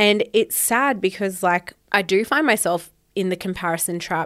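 A woman with an Australian accent speaks at a medium pitch and moderate pace. The recording is very clean, with a silent background. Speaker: podcast host. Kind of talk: casual solo chat.

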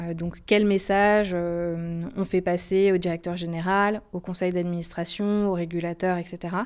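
A woman's fairly low, flat monotone at a very slow pace with hardly any pauses, very clean recording over a silent background. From France, Haute-Savoie. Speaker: management consultant. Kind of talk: interview. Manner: hesitant, with filler sounds.

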